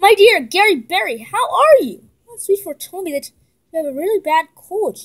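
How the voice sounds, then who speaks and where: A woman's put-on character voice, extremely high in pitch, with very wide pitch swings, big swings in loudness, and a moderate pace. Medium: read story.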